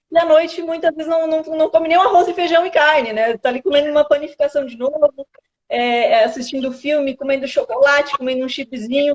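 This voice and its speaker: Animated and high-pitched, a woman speaks at a fairly quick pace with ordinary pitch variation, recorded with a dry, close sound and no echo. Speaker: nutritionist. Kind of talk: live stream interview, explaining nutrition. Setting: online live stream.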